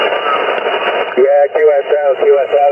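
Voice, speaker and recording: A man talks while noticeable noise sits in the background. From Dublin, Ireland. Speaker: ham radio operator. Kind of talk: radio contact.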